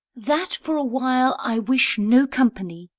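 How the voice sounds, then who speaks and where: Using a put-on character voice, a woman speaks at a high pitch and moderate pace. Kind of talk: Elizabethan verse drama. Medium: audio drama.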